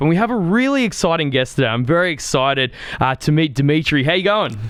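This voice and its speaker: Over noticeable background noise, a man with an Australian accent talks very fast in a high-pitched voice. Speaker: podcast host. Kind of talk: podcast interview.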